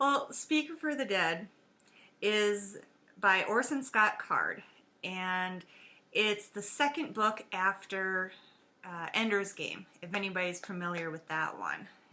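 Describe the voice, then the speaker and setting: A woman speaks very slowly with an Upper Midwest accent. Her tone is bright and sharp, and her intonation is lively. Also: medium pitch for a woman. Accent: Upper Midwest accent, long vowels. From US Upper Midwest. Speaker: podcaster. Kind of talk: casual chat. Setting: home dining room. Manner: halting, many fillers. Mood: relaxed, cheerful. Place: home room. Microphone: webcam.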